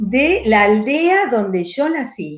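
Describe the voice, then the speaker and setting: Heard with audible room echo, a woman with an Italian accent speaks at a high pitch, her voice making very wide pitch swings. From Argentina, Rosario. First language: Italian dialect (speaking Spanish). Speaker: writer and poet. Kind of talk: conversational interview.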